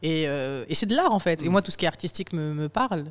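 In a very clean recording with a silent background, a woman with an ordinary speaking voice talks at a fairly quick pace and a fairly low pitch. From France, rural Vaucluse. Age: 20s. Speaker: journalist and author. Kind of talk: interview. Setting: studio.

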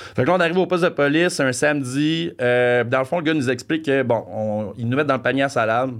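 A man talks very fast, with hardly any pauses. His pitch is medium with ordinary variation, and the background is quiet. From Franco-Ontario, Canada. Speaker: podcast guest. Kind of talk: casual chat, storytelling.

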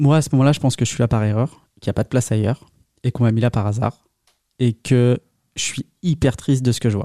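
A man with a dark, mellow tone speaks at a very fast pace and a medium pitch. His intonation is fairly even, and the sound is dry and close with no echo. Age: 30s. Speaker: patient with chronic blood disease. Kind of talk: interview testimony.

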